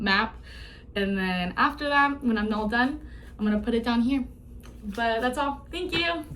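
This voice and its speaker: A woman speaks with lively intonation. Room echo is audible. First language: not English. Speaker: student. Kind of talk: class presentation. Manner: fast; some vocal fillers and slip-ups.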